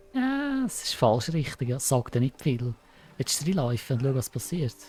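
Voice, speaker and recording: A man's somewhat breathy, excited voice at medium pitch, with a Swiss accent, a moderate pace and ordinary pitch variation. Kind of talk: casual gameplay commentary.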